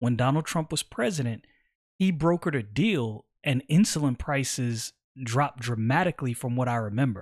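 A man's plain, everyday voice at medium pitch, with lively intonation and a moderate pace, dry and close with no echo, on a very clean recording with a silent background. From New York, Brooklyn. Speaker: political podcaster, military veteran. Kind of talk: political commentary podcast.

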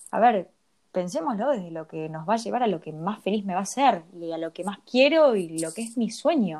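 A woman speaks at a moderate pace with a Rioplatense accent and a medium pitch. Her intonation is lively, and her loudness swings widely. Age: 30s. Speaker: podcast co-host, personal development coach. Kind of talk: casual chat.

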